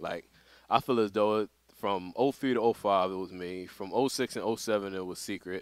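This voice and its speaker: With an American accent, a man speaks at a fairly low pitch with ordinary pitch variation, the sound dry with no echo and the background quiet. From Philadelphia, US. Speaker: veteran competitive gamer; podcast guest, gamer. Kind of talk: casual chat. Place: studio.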